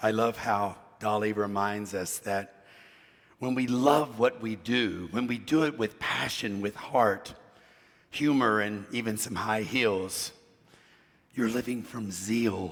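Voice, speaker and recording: A man speaks very slowly with long, frequent pauses, his pitch fairly low and his intonation fairly even. Noticeable background noise runs underneath. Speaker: minister. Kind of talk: sermon. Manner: casual, humorous delivery.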